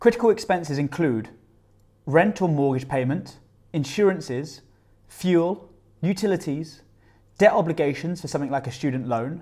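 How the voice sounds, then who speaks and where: A man with a British accent speaks in a dark, mellow tone at a fairly high pitch with lively intonation. His pace is moderate, broken by long, frequent pauses. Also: very clean recording, silent background. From UK. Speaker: personal finance youtuber. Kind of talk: scripted tutorial.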